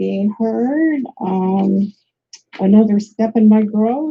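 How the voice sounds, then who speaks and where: At a very slow pace, a woman speaks in a dark, mellow, somewhat breathy tone, her pitch fairly high with ordinary variation. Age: 60s. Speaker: coaching volunteer. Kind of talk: personal interview. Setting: phone call on live stream. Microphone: phone microphone, too far away.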